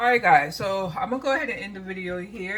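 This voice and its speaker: Noticeable background noise accompanies a woman whose pitch moves in an ordinary way. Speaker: lifestyle vlogger. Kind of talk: casual vlog. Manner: casual.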